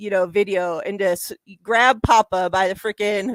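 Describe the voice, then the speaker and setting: The woman talks at a medium pitch, varying it in an ordinary way, on a very clean recording with a silent background. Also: dry, close sound with no echo. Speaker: sports podcast co-host. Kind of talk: casual chat.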